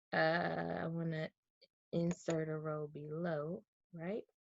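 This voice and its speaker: At a very slow pace, a woman with a Southern US accent speaks in a fairly low pitch, the sound dry with no echo. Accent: Southern US, drops R's. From US South. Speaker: real estate wholesaler; real estate data tutor. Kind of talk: tutorial. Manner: casual, conversational with fillers. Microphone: webcam.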